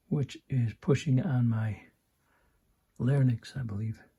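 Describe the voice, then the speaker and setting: Whispering at a very slow pace, a man sounds somewhat breathy. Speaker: amplifier repair technician. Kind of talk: repair tutorial.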